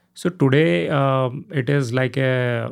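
This speaker has an Indian accent and ordinary pitch variation. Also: man. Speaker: tech company CEO. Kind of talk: interview. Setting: studio. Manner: hesitant, many fillers.

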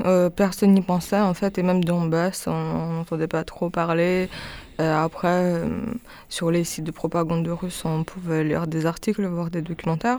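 A woman speaks at a fairly slow pace with monotone, flat intonation. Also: fairly low pitch for a woman. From Ukraine. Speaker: singer and performer. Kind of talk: radio interview.

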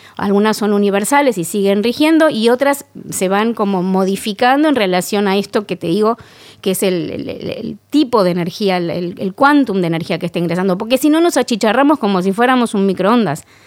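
A woman with a Rioplatense accent, lively intonation and a fairly quick pace. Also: medium pitch for a woman, very clean recording, silent background. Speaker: actress and candle maker. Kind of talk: interview.

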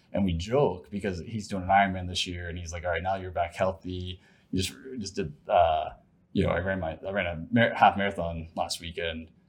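A man's somewhat breathy, very deep, low voice in an American accent, with fairly even intonation and a fairly quick pace, against a quiet background. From Ohio. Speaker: sales executive and ultra-runner. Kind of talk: interview conversation.

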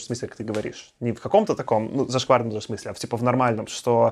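A man with an unremarkable speaking voice talks at a medium pitch with ordinary pitch variation. The recording is very clean, with a silent background. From Belarus. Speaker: podcast host. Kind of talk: casual chat.

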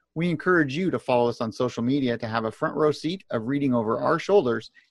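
His pitch sits in the medium range and moves in an ordinary way. The man rushes along at a very fast pace. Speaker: podcast host and newsletter publisher. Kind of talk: casual professional discussion. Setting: remote video call.

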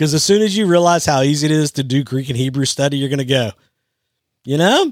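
Animated and very fast, a man speaks in a very clean recording with a silent background. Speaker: youth ministry leader, podcast host. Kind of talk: casual chat.

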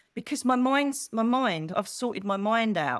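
A woman with an Essex accent at a moderate pace, animated in tone and lively in intonation. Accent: southern English (Essex). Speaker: psychic medium. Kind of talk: casual interview chat. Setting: video call.

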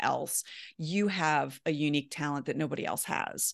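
This woman's voice sits very deep and low, with fairly even intonation and an American accent. She keeps a moderate pace against a quiet background. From US, Baltimore. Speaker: personal finance writer. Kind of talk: interview.

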